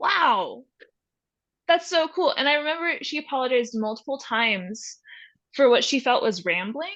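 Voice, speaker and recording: A woman with an American accent speaks fairly slowly in a high, bright, sharp voice that swings very widely in pitch. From Texas. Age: 20s. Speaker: photojournalist. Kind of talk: podcast interview.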